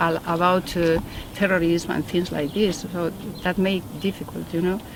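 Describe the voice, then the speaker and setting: In a Spanish accent, a woman with a fairly low pitch speaks at a moderate pace in a flat monotone, with noticeable background noise behind her. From Spain, Valladolid. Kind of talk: interview. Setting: mosque. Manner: halting.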